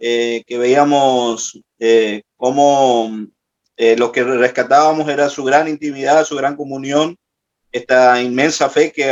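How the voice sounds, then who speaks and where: At a very slow pace and with fairly even intonation, the voice comes over music in the background. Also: man. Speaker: participant in prayer class. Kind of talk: group report in online class. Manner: halting, many fillers.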